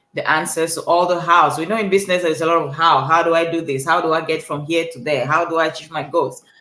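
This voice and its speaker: A woman with a Cameroonian accent speaks fairly quickly at a fairly low pitch. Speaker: life coach. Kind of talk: motivational talk.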